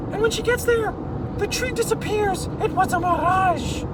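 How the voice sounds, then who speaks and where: Loud background noise fills the recording. The speaking pace stays moderate. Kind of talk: improvised bedtime-style storytelling. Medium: read story. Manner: animated, self-correcting, with spoken sound effects.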